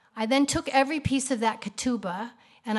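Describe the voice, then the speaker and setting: Somewhat breathy, a woman with an American accent talks at a fairly quick pace with ordinary pitch variation. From US Midwest, Kansas City. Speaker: artist. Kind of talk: lecture. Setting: stage with audience. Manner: fast.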